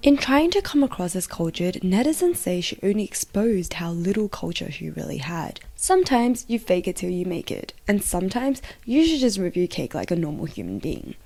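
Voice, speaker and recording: A woman talks at a fairly quick pace in a medium-pitched voice. Her pitch swings very widely. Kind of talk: explainer video narration. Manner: casual, wry.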